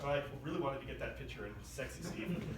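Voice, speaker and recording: The man talks at a fairly quick pace. Audible room echo and noticeable background noise surround him. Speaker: tech meetup organizer. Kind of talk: casual tech news presentation. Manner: conversational, many fillers.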